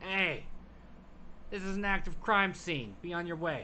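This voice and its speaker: Shouting in a put-on character voice at a high pitch, a man keeps a moderate pace over clear background noise. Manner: dismissive, yelling.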